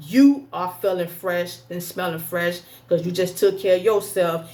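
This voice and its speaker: Her pitch is in the medium range. A woman is talking. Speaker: religious health vlogger. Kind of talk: casual tutorial. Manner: fast.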